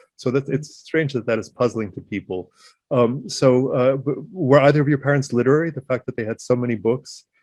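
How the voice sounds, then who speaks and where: A man with a medium pitch is speaking. He moves at a fairly quick pace with ordinary pitch variation. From United States, Ukrainian diaspora. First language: Ukrainian. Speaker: writer and interviewer. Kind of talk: interview.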